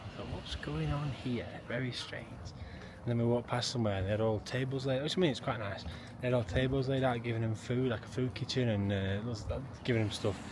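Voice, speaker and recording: Very fast speech in a South Yorkshire accent keeps a fairly even intonation over noticeable background noise. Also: man. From northern England (Maltby, South Yorkshire). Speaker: travel vlogger. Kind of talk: casual vlog narration.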